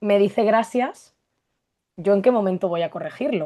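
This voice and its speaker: A woman with a peninsular Spanish accent against a quiet background. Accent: peninsular Spanish with distinción. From Spain (Barcelona, Castilian roots). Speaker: Spanish language teacher. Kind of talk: live discussion.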